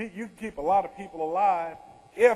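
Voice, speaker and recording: With noticeable background noise behind him, a man with a Louisiana accent talks at a fairly quick pace, his pitch high and its variation ordinary. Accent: Louisiana Southern. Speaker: retired army general, disaster response speaker. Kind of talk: keynote Q&A. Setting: conference session with audience.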